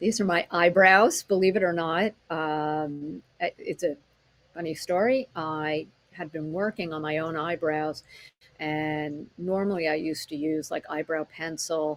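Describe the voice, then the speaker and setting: A woman talks in a normal speaking voice, fairly low in pitch, at a fairly slow pace with ordinary pitch variation. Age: 60s. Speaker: acupuncturist and teacher. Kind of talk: webinar presentation. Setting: online presentation with slides.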